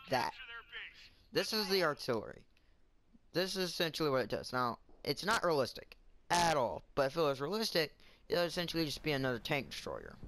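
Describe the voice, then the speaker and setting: A man's fairly high voice moves at a fairly quick pace against noticeable background noise. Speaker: gaming YouTuber. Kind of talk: gameplay commentary. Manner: loud; halting.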